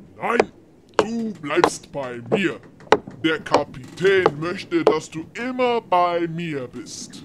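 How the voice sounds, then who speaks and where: Putting on a character voice, a woman speaks at a fairly low pitch and a very slow pace. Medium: audio drama. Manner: condescending, treats the listener like a pet.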